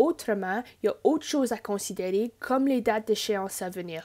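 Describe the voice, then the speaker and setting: With an Ontario French accent, a woman speaks at a moderate pace in a dark, mellow tone with ordinary pitch variation. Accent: Franco-Ontarian French. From Northern Ontario, Greater Sudbury. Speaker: university liaison officer. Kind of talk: scripted presentation.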